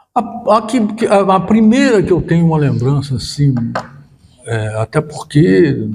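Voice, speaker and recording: A man's dark, mellow, somewhat breathy voice. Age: 70s. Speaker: retired teacher and union director. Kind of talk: interview. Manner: halting, with frequent repetitions.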